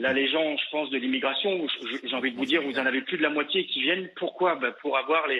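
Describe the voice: A man talks at a fast pace. His pitch is medium. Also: ordinary pitch variation.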